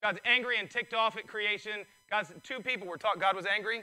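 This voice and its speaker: The voice is a man's, pitched high with a bright, sharp tone. He speaks in a raised, projected way. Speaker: pastor. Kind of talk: sermon. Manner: animated; loud.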